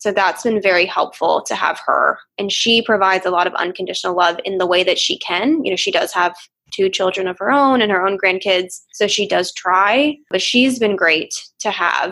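A woman with a normal speaking voice and an American accent, medium in pitch, at a moderate pace, with ordinary pitch variation. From Chicago. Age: 20s. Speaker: psychotherapist. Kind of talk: casual interview chat.

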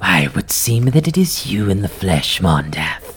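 Over clear background noise, a put-on character voice sits low in pitch and swings very widely. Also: moderate pace. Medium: actual play. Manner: suspicious, imperious.

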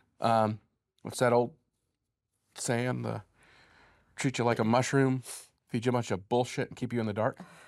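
A medium-pitched male voice on a very clean recording with a silent background. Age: 40s. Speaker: bereaved father. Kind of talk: interview.

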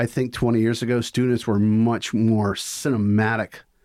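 A man speaks with a Mississippi accent at a medium pitch. His intonation is fairly even, and the sound is dry and close with no echo. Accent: Southern US (Mississippi). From US South, Mississippi (Vicksburg). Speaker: film professor. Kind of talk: casual interview.

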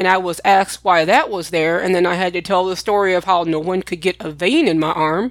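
Here is a woman with an ordinary speaking voice and medium pitch. Her moderate-paced speech has a dry, close sound with no echo. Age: 40s. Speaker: podcast host sharing her illness story. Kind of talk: personal storytelling monologue.

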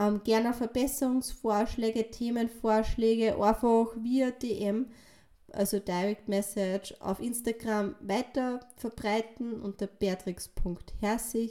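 A woman speaks at a very slow pace in a fairly high pitch with a dark, mellow tone. Her intonation stays fairly even. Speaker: fitness and nutrition coach. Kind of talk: podcast monologue. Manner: casual, filler-heavy.

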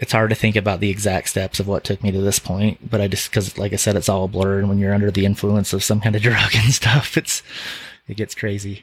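A man's fairly low, somewhat breathy voice stays monotone and flat. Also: fairly quick pace. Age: 40s. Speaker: auto shop owner. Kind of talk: interview. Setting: studio.

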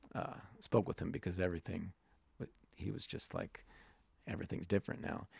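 Speaking at a fairly quick pace, a man with a very deep, low pitch uses very wide pitch swings and vocal fry. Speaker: podcast host and music writer. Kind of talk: casual interview chat. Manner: halting.

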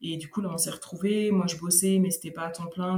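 A woman with a normal speaking voice, a fairly low pitch and a fairly quick pace. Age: 30s. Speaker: podcaster and returning expat. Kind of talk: testimony.

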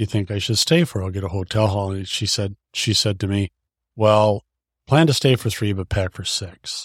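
A plain, everyday voice with a dry, close sound and no echo. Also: man, very clean recording, silent background. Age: 60s. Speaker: podcast guest, half of a couple. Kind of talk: casual interview chat.

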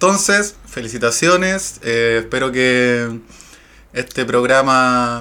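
A man with a Chilean accent speaks at a medium pitch, his tone bright and sharp and his intonation lively. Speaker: podcast co-host. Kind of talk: casual chat.

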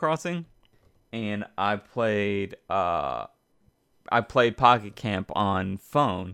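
Recorded dry and close with no echo over a quiet background, a man speaks at a fairly low pitch with ordinary pitch variation. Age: 30s. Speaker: gaming podcast co-host and streamer. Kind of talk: casual chat. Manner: halting, many fillers.

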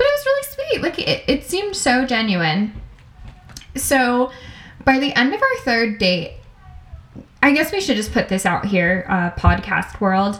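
Over noticeable background noise, a woman talks fairly slowly, pausing often and at length. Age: 20s. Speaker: podcast co-host. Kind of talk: casual chat.

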